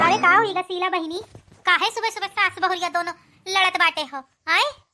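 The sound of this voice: In a cartoonish character voice, a woman speaks at an extremely high pitch with fairly even intonation. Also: moderate pace.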